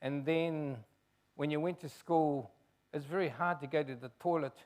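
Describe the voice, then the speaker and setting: A man with a New Zealand accent. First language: Chinese. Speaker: race relations commissioner. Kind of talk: public talk.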